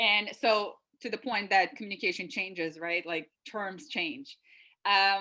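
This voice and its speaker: A woman speaks at a fairly slow pace with a bright, sharp tone. Her pitch sits in the medium range and moves with ordinary variation. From Lithuania, Klaipeda. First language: Lithuanian. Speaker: consultant, university alumna. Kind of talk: webinar interview.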